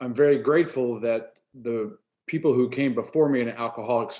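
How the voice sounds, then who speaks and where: A man's medium-pitched voice with a Maryland accent and ordinary pitch variation. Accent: American (Maryland). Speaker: AA speaker. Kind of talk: testimony. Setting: video call. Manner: fast.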